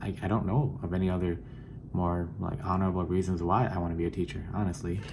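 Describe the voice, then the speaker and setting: In a Southeast Asian accent, a man talks at a moderate pace with a dark, mellow, somewhat breathy tone amid audible room echo. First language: Hmong. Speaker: student teacher. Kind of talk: personal introduction video. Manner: halting, many fillers and repeats.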